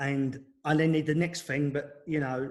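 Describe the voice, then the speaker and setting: The speaker has an English accent and a somewhat breathy voice. The intonation stays monotone and flat. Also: man. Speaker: former footballer. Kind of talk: interview. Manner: fast.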